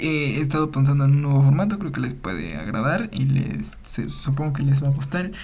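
With a Mexican accent, the speaker moves at a fairly quick pace with hardly any pauses, and noticeable background noise sits behind the voice. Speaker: podcast host, student. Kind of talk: casual monologue. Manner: halting, many fillers and repetitions.

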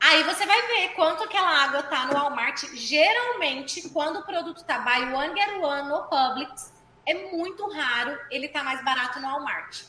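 A woman's high, raised and projected voice with lively intonation, a moderate pace and hardly any pauses. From Goiânia, Brazil. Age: 20s. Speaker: physical education teacher. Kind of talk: casual interview.

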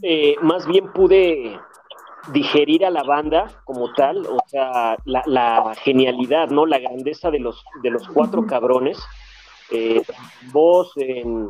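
A man's fairly high voice at a very slow pace with ordinary pitch variation, amid noticeable background noise. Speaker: music fan guest. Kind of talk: casual chat.

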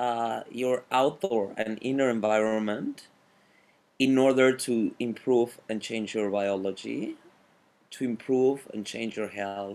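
Speaking at a very slow pace, a man with a Spanish accent keeps to a medium pitch. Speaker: fitness coach and cycling instructor. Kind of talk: interview conversation.

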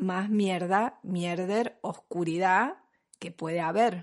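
A woman speaks very slowly with an Argentine accent. The background is quiet. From Argentina. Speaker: podcast host, mother and pregnancy professional. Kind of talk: casual chat.

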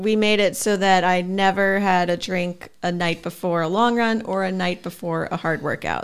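On a very clean recording with a silent background, a woman speaks at medium pitch and a moderate pace. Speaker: podcast co-host, reads sponsor and listener questions. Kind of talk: casual chat.

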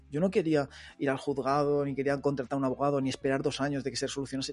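Over a quiet background, a man with a fairly high pitch speaks in a dark, mellow tone. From Madrid, Spain (Móstoles). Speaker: online entrepreneur, former police officer. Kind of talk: interview. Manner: casual, filler-heavy.

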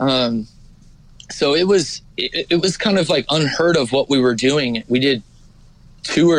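Speaking very slowly with an American accent, a man uses a fairly high pitch and ordinary pitch variation. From California high desert, Ridgecrest. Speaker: singer. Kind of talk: casual chat.

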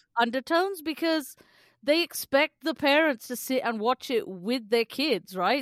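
A woman talks in a high pitch with ordinary pitch variation. The recording is very clean and dry, with a silent background and a close sound with no echo. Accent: British. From England, British Indian family. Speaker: podcast co-host. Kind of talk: casual chat.

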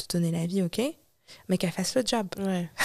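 A woman speaks at a medium pitch with ordinary pitch variation, in a very clean recording with a silent background. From France. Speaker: singer and spiritual healer. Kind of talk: interview. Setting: studio.

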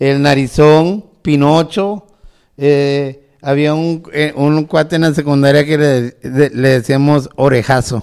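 Very slowly, a man speaks in a fairly high voice. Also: fairly even intonation. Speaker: podcast co-host. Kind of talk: casual chat; reading aloud.

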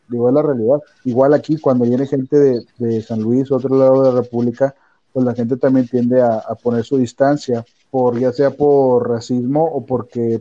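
Monotone and flat, a man speaks in a dark, mellow tone. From Monterrey, northern Mexico. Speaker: business administration graduate. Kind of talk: casual chat.

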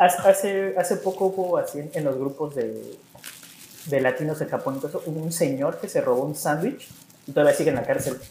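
Speech moves at a moderate pace. Noticeable background noise runs underneath. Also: man. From Mexico. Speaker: Mexican expat living in Japan. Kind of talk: casual chat.

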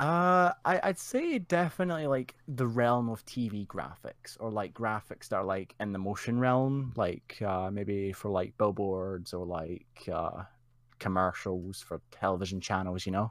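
In a Scottish accent, a man with a fairly low pitch speaks at a fairly slow pace with lively intonation and hardly any pauses. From Scotland. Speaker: community member, guest. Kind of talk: casual interview chat. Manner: laid-back, chatty.

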